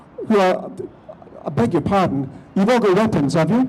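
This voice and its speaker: Over music in the background, a man with a high pitch talks at a fairly quick pace. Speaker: politician speaking at a rally. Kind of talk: rally speech. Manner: animated.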